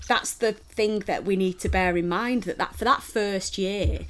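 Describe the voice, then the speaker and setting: A woman talks at a fairly slow pace in a Mancunian accent. Her intonation stays fairly even. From Manchester, England. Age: 30s. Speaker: wrestling podcast co-host. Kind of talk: casual chat.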